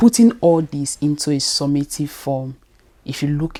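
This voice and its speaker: A dark, mellow tone at a moderate pace. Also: woman. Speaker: faith-based emotional healing coach. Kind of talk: motivational talk to camera.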